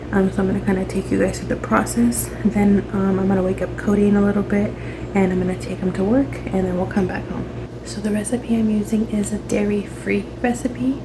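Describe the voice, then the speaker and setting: This woman talks at a fairly quick pace, with audible room echo and noticeable background noise in the recording. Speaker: lifestyle vlogger. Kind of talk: casual vlog tutorial. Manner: hesitant, many fillers.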